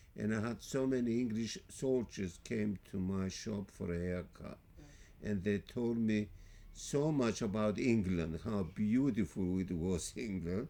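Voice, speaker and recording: A man talks with a Greek accent. His pitch is fairly low. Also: ordinary pitch variation, fairly slow pace. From Greece. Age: 80s+. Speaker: barber. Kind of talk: interview answer.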